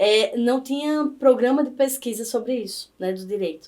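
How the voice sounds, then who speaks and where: A woman with a northeastern Brazilian accent speaks at a fairly slow pace. Her pitch is fairly high, with ordinary variation. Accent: Northeastern Brazilian accent, noticeable. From Brazilian Northeast, Campina Grande, Paraíba. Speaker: law professor. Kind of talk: podcast interview.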